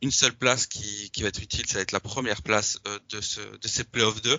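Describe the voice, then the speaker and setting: This man has an unremarkable speaking voice, pitched fairly low. His intonation stays fairly even. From Belgium. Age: 20s. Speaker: football social media account manager, student. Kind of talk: casual interview.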